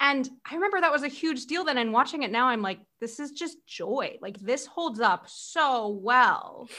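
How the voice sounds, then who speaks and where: A woman with a high pitch and a bright, sharp tone speaks in a raised, projected voice with lively intonation. She keeps a moderate pace with hardly any pauses, on a very clean recording with a silent background. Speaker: podcast host. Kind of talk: casual interview chat. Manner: warm, enthusiastic.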